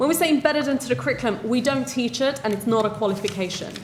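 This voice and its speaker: With music in the background, a woman speaks in a high voice with lively intonation. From Sweden, then England from 13. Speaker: social entrepreneur. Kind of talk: panel debate answer.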